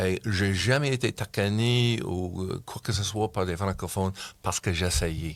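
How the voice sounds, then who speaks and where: Speaking with an English accent at a fairly slow pace, a man with a fairly low pitch is heard in a very clean recording with a silent background. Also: ordinary pitch variation. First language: English (speaking French). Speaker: community club member. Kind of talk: interview. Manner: halting.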